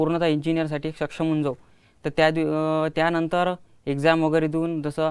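A fairly high-pitched man in a monotone, flat intonation, over a quiet background. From Ashti, Vidarbha, Maharashtra; Maharashtra. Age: 20s. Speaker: student inventor; guest. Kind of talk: interview. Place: studio. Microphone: lapel.

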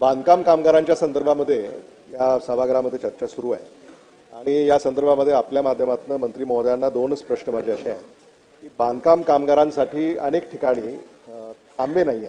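A man speaks at a fairly quick pace in a dark, mellow tone at a medium pitch, with ordinary pitch variation.

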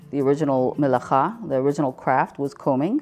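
The speaker's pitch varies in an ordinary way at a moderate pace. Faint music plays in the background. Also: woman. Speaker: craft center teacher. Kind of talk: interview answer. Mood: calm, earnest explaining. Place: workshop.

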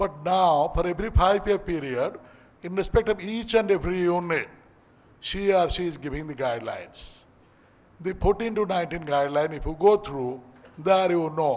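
His pitch sits high for a man, moves in an ordinary way, and the pace stays moderate. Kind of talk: formal speech. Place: hall. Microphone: podium.

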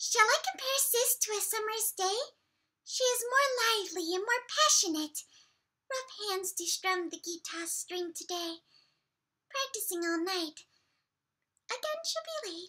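Using a put-on character voice at an extremely high pitch, a woman speaks at a moderate pace with long, frequent pauses. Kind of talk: poetry reading.

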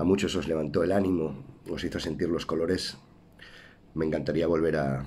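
Marked by vocal fry, a man with a very deep, low pitch speaks at a moderate pace with ordinary pitch variation. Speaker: actor. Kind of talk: casual talk to camera. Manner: warm, encouraging.

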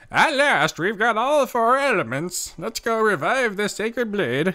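A put-on character voice carries the speech. It moves along at a moderate pace. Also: man, high pitch for a man. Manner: earnest, adventurous.

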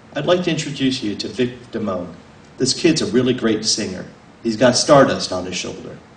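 Lively intonation in a natural reading voice

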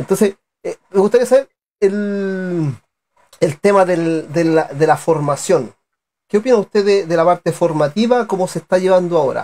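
A man's high-pitched voice with a dark, mellow tone, moderate pace and ordinary pitch variation, in a dry, close sound with no echo. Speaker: sports channel interviewer. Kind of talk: live online interview show. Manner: halting, repeats words.

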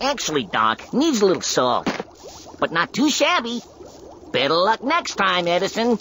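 In a cartoonish character voice, the fairly high-pitched speaker makes very wide pitch swings at a moderate pace, with long, frequent pauses and clear background noise. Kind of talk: cartoon comedy. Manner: wisecracking, breezy, mocking.

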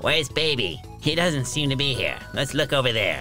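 A man puts on a character voice at a medium pitch, his loudness very even. Music plays clearly in the background. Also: moderate pace. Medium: actual play.

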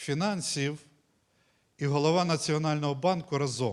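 A man at a fairly slow pace with ordinary pitch variation, on a very clean recording with a silent background. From Ukraine, Volyn region. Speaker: pastor. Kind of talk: sermon. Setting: church.

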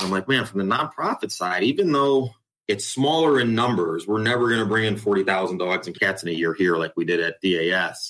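Lively intonation and a fairly quick pace, in a US Midwestern accent. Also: man, fairly low pitch for a man. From Ohio, US Midwest. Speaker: animal shelter director. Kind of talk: interview.

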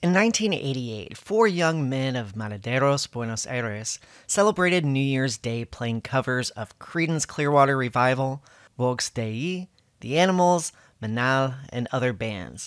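With an American accent, a man of medium pitch speaks with lively intonation in a dry, close sound with no echo on a very clean recording with a silent background. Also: fairly slow pace. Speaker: YouTuber and musician. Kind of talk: scripted narration. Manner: non-native Spanish pronunciation.

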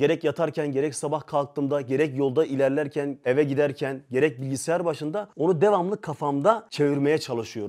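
Against a quiet background, a man talks at a fairly quick pace in a fairly high pitch with a dark, mellow tone. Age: 20s. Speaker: religious volunteer and motivational video maker; channel host. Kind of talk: interview. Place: studio. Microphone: lapel.

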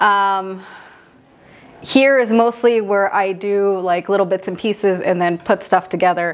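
A woman talks at a fairly slow pace in an American accent. Her intonation stays fairly even. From San Jose, California (east side). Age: 30s. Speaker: visual artist. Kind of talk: casual interview. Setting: art studio. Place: workshop.

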